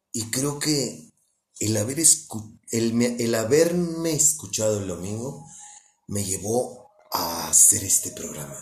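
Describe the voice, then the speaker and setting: Speaking very slowly at a medium pitch, a man swings his pitch very widely while the room echo is audible. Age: 40s. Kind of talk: religious talk. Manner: casual.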